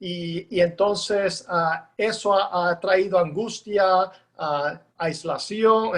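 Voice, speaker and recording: He talks with a high pitch for a man and fairly even intonation. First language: English (speaking Spanish). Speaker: pastor and seminary professor. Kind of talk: interview. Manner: halting.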